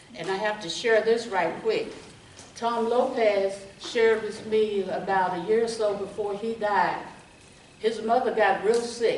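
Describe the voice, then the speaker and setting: Amid noticeable background noise and audible room echo, a woman speaks at a fairly slow pace with a fairly high pitch and fairly even intonation. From Texas, Round Rock. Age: 70s. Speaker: retired nurse, local history speaker. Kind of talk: oral history talk to audience.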